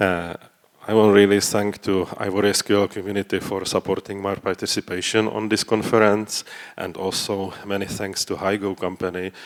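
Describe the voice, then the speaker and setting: With a non-native accent, a man speaks at a moderate pace in a very deep, low pitch with monotone, flat intonation. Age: old. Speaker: database consultant. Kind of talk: conference talk. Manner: halting, many fillers.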